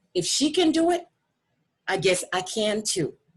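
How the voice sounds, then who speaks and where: The speaker uses lively intonation at a moderate pace in a somewhat breathy voice. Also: woman. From Africa. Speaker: parent advocate and teacher. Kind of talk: casual chat. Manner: animated.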